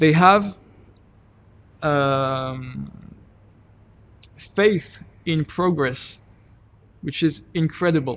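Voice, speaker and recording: With a French accent, a man speaks at a very slow pace, leaving long, frequent pauses. His voice is fairly high with ordinary pitch variation. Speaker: PhD student and climate NGO volunteer. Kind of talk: interview. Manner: halting.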